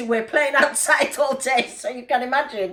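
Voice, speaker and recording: Raising and projecting her high-pitched voice, a woman with a Greek Cypriot accent speaks fairly slowly with lively intonation over noticeable background noise. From Cyprus. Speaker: cooking video host. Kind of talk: cooking tutorial.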